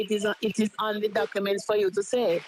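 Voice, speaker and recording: A woman's fairly high voice at a very fast pace, over noticeable background noise. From Jamaica. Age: 70s. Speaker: caller. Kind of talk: call-in comment.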